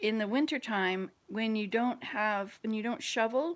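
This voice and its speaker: A woman speaks in a plain, everyday voice with an American accent. Her pitch is fairly high and her pace moderate. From US South, Georgia. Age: 60s. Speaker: vlogger. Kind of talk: casual chat.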